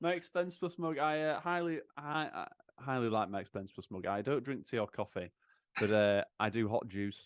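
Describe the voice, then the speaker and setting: On a very clean recording with a silent background and a dry, close sound with no echo, the voice moves at a moderate pace in a Yorkshire accent, its pitch swinging very widely. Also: man, medium pitch for a man. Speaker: accountant advising churches on finance. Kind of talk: casual podcast interview. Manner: halting, many repeated words.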